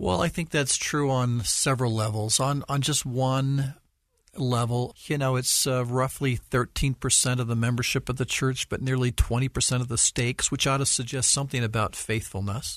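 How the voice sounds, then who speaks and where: Against a quiet background, a man with an American accent uses an ordinary speaking voice at medium pitch and a moderate pace, keeping his intonation fairly even and his loudness very even. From Utah, US. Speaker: church leader. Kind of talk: interview.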